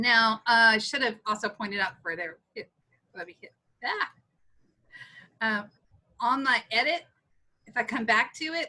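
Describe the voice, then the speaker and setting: Speaking at a moderate pace with long, frequent pauses, a woman with a Texas accent uses a fairly high, bright, sharp voice, lively intonation and big swings in loudness. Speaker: instructional technology trainer; teacher. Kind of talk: tutorial. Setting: video call. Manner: casual, with many fillers. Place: home room. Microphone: webcam.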